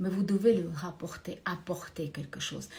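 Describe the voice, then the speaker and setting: A woman speaks with a dark, mellow tone that is somewhat breathy. Her pitch variation is ordinary. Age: 60s. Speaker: career and finance coach. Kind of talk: motivational talk to camera. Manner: hesitant, many filler sounds.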